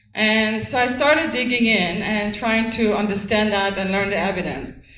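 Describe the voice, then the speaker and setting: A voice with a non-native accent, a moderate pace, and ordinary pitch variation, with audible room echo. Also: woman. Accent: noticeable foreign. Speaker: activist speaker on wireless radiation. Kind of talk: lecture. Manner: hesitant, many ums.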